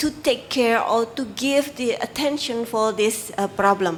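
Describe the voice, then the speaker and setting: A woman's fairly high voice with an Indonesian accent and ordinary pitch variation. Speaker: civil society worker. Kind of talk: press briefing. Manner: halting.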